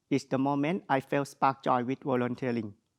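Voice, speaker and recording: A man with a strong Thai accent at a moderate pace, medium pitch and fairly even intonation, dry, close sound with no echo, quiet background. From Thailand. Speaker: graduate student speaker. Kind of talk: graduation speech. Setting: graduation ceremony. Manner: formal.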